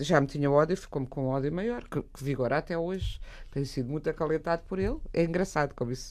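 Very fast speech comes from a woman with a very deep, low pitch. The recording is very clean, with a silent background. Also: ordinary pitch variation. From Portugal. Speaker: writer. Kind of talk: radio discussion.

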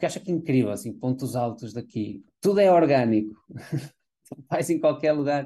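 With a dark, mellow tone and lively intonation, the voice moves at a moderate pace with hardly any pauses. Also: man, fairly high pitch for a man. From Portugal. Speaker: advertising creative director. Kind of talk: interview.

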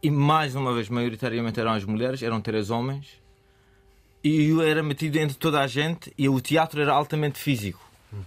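The man's pitch is fairly high, with ordinary variation. He talks at a fairly quick pace. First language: Persian (speaking Portuguese). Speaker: interview guest. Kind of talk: interview.

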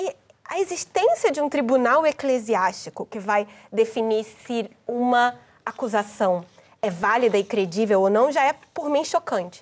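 Lively intonation runs through a woman's fairly high-pitched voice. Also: fairly slow pace. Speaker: journalist. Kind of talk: panel discussion.

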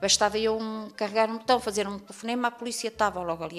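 A woman talks at a very fast pace. Her voice has a medium pitch. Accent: European Portuguese. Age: 50s. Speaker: domestic violence survivor. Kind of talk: testimony. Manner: halting.

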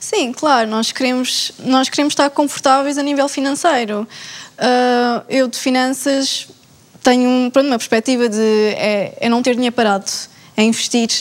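Speaking with a European Portuguese accent, a woman keeps a moderate pace. Her high-pitched voice has fairly even intonation. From Portugal. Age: 20s. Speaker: finance master's student. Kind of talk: panel discussion.

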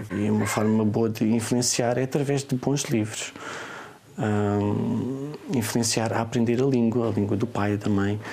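Over noticeable background noise and audible room echo, a man of medium pitch speaks fairly slowly, with very even loudness and fairly even intonation. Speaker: online children's bookseller. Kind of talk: interview. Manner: hesitant, many fillers.

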